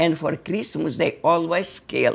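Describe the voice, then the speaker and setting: Very slow speech from a woman with an Eastern European accent, on a very clean recording with a silent background. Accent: Eastern European, non-native English. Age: 80s+. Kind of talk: interview answer.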